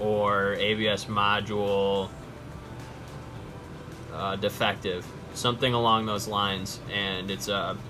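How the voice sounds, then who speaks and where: A man's fairly low, monotone voice with flat intonation, music in the background. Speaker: DIY car repair presenter. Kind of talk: casual how-to talk. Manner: stuttering, stammering.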